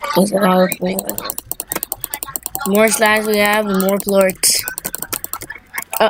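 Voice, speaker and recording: Medium-pitched woman at a very slow pace, fairly even intonation, long and frequent pauses, noticeable background noise. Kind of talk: casual gameplay commentary.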